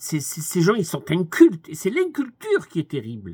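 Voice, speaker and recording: This man has a high pitch and very wide pitch swings. He speaks at a moderate pace. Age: 80s+. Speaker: commentator. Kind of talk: monologue. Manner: halting.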